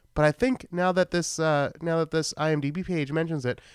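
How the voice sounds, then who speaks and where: A man talks at a fairly quick pace with a Boston accent. The recording is very clean with a silent background and a dry, close sound with no echo. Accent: Boston accent, shows on some words. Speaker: podcast host, film reviewer. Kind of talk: solo podcast film recap, casual. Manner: casual, rambling with fillers.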